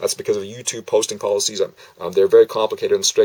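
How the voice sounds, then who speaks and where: A man talks at a very fast pace. The sound is dry and close, with no echo. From Manitoba, Canada. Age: 50s. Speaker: vlogger. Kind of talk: casual monologue to camera. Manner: halting, with stammers and fillers.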